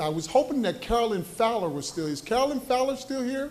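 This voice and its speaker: Lively intonation at a fairly quick pace comes through noticeable background noise and audible room echo. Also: man. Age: 70s. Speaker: community member asking question. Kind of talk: public comment at town hall. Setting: town hall meeting with audience.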